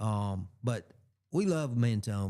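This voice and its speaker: In an Alabama accent, a man with a dark, mellow tone and medium pitch speaks on a very clean recording with a silent background. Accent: Southern US (Alabama). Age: 60s. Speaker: radio host. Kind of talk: casual chat. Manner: halting.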